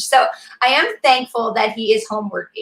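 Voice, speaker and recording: In an animated tone, a woman speaks at a fairly high pitch and a moderate pace. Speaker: mother of six. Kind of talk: casual chat. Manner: loud.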